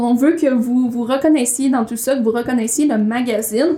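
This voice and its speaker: With noticeable background noise behind her, a woman with a Quebec accent speaks in a high pitch with ordinary pitch variation. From rural Quebec. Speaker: magazine coordinator and podcast co-host. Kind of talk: casual chat. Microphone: room echo.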